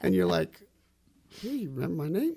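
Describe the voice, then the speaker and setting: A man is speaking. He talks with a New Jersey accent. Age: 60s. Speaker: musician. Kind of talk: radio interview.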